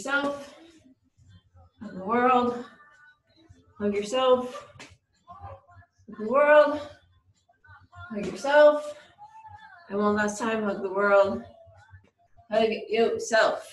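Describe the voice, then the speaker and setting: A woman speaks very slowly, leaving long, frequent pauses. Her pitch varies in an ordinary way, and audible room echo fills the space. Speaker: workout instructor. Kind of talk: exercise instruction. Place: gym.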